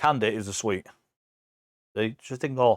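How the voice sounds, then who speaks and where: In a very clean recording with a silent background and a dry, close sound without echo, a man with an English accent speaks in an animated tone. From England. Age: 40s. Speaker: visiting friend, gamer and streamer. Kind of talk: casual chat. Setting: live stream podcast.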